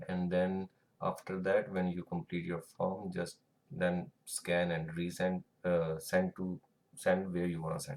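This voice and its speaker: A man with an Indian accent speaks at a fairly slow pace in a very deep, low pitch with fairly even intonation. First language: Hindi or Punjabi. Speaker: tutorial creator. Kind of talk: tutorial. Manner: halting, with fillers.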